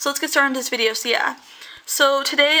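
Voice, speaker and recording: Over noticeable background noise, a woman projects a raised voice in a flat, monotone way. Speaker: YouTuber, true crime narrator. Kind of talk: casual true crime storytelling. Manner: fast; halting, self-correcting.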